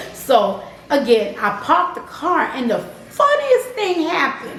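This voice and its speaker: A woman speaks at a fairly slow pace in an extremely high, animated voice with very wide pitch swings. Noticeable background noise and audible room echo fill the recording. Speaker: channel co-host telling a faith story. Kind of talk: personal testimony storytelling.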